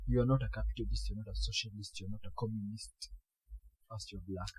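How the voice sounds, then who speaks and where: The speaker goes at a moderate pace. Music plays in the background. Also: man. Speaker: podcast co-host. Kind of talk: casual chat.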